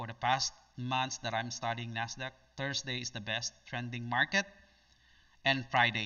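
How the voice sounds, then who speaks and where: A man with a Filipino accent, medium pitch, moderate pace, fairly even intonation and long, frequent pauses. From Philippines. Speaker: day trader. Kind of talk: live trading stream. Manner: halting.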